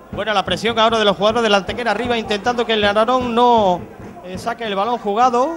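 Over noticeable background noise, a man talks in an animated tone at a high pitch for a man and a very fast pace. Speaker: football commentator. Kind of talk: live commentary. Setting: stadium commentary position.

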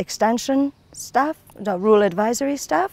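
A woman talks at a moderate pace, the sound dry with no echo. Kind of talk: interview answer. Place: open country. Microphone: lapel.

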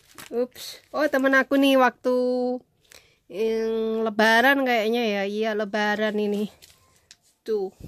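Very slow speech with long, frequent pauses and fairly even intonation, in a dry sound with no echo. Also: woman. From Indonesia, village background. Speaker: vlogger, former migrant domestic worker; vlogger. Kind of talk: personal storytelling vlog. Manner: halting. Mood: relaxed, reminiscing. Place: home room. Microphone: phone near.

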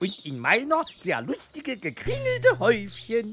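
A cartoonish character voice with a fairly bright tone, a slightly husky edge, very wide pitch swings and a fairly slow pace.

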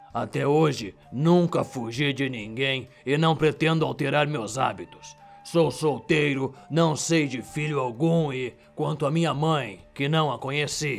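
Hoarse and fairly high-pitched, a man does a put-on character voice at a fairly slow pace, with faint music in the background. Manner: calm, firm, dryly ironic.

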